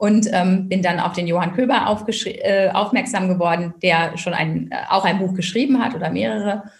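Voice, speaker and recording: Hardly pausing, a woman at medium pitch speaks with audible room echo around her. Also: ordinary pitch variation, moderate pace. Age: 40s. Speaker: tax advisor and first-time author. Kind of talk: interview.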